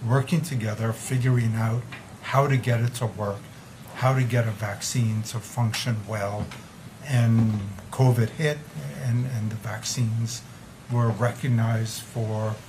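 Over noticeable background noise, a man talks at a fairly slow pace with fairly even intonation and long, frequent pauses. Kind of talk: press conference answer. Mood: calm reflective. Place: meeting room. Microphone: podium.

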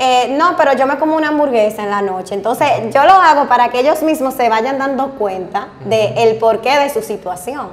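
At a moderate pace, this speaker uses lively intonation with a Dominican accent. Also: woman, high pitch for a woman, hardly any pauses. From Mao, Dominican Republic. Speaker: bariatric surgeon. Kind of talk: casual interview chat. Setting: studio. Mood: relaxed and animated. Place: studio.

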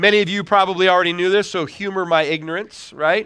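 A man's raised, projected voice, bright and sharp in tone, with ordinary pitch variation against a quiet background. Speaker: pastor. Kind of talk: sermon. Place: church.

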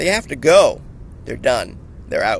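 A man speaks in a dry sound with no echo. Light background noise can be heard. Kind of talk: angry political rant to camera. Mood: angry, agitated. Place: street. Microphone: phone near.

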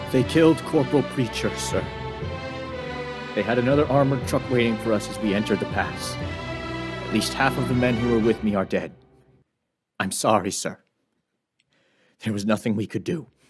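Putting on a gruff character voice at a medium pitch, a man talks at a fairly quick pace with long, frequent pauses as faint music plays in the background. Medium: short film. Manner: gruff, blunt, angry at superiors.

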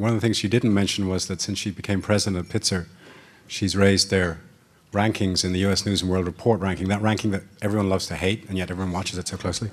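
Speaking in an Irish accent, a man has a very deep, low pitch. His delivery is very fast and monotone, with flat intonation. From Ireland. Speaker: master of ceremonies, journalist. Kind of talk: event hosting and panel moderation. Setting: luncheon with live audience. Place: hall. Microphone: podium.

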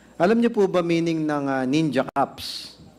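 At a fairly slow pace, a man uses an ordinary speaking voice with ordinary pitch variation. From Philippines. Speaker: lawmaker questioning a witness; witness. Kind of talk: formal hearing interrogation. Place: hall. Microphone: podium.

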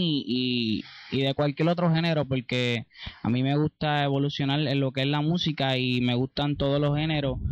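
The delivery moves at a moderate pace, and the sound is dry with no echo. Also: man. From Puerto Rico, Ponce. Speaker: reggaeton singer and songwriter. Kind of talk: interview. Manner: halting. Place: garden. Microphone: handheld.

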